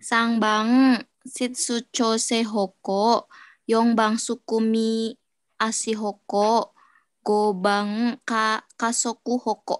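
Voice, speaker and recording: A woman with fairly high pitch speaks at a very slow pace in a monotone, flat intonation, her loudness very even. The sound is dry with no echo over a quiet background. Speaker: caregiver trainee; teacher or study leader. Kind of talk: reading aloud; lecture. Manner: halting. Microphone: video call.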